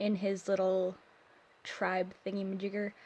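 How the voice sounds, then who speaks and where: A woman speaks very slowly at a medium pitch. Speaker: digital artist. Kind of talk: casual voiceover for art speedpaint. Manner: hesitant, awkward, many pauses and fillers.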